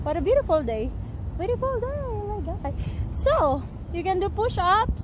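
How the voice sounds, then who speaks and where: A woman in a dry sound with no echo, with noticeable background noise. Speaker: fitness vlogger. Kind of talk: casual vlog chat. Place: garden.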